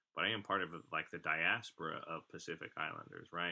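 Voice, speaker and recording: A man speaks at a fairly quick pace with an American accent. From California, US (Bay Area). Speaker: podcast co-host. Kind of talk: casual chat.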